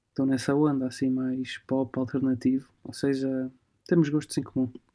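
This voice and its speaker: Against a quiet background, a man with a fairly high pitch and a dark, mellow tone speaks at a moderate pace. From Portugal. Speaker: musician and music promoter. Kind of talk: casual chat. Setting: remote call from home. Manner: halting.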